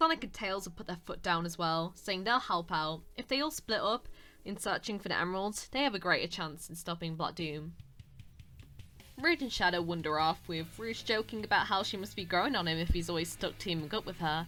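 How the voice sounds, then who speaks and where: With a British accent and a bright, sharp tone, a woman speaks at a fairly quick pace and a fairly low pitch. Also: ordinary pitch variation. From Britain. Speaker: YouTuber and voice actor. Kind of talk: commentary video. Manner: halting, stuttering; awkward.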